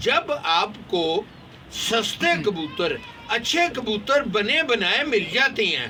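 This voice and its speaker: Over noticeable background noise, a man speaks in a raised, projected voice at an extremely high pitch. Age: 70s. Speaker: pigeon fancier. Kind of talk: casual vlog advice talk.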